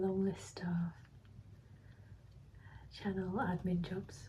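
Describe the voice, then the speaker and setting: The voice is somewhat breathy, with a relaxed, dark and mellow tone. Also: woman. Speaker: ASMR creator. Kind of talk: ASMR ramble to camera. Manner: soft-spoken, relaxed.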